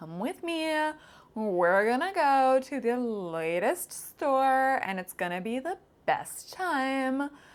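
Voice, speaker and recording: A woman uses a put-on character voice, high and sing-song, moving very slowly with very wide pitch swings. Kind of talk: gushing, cheerfully insistent. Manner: bouncy, overexcited, sing-song.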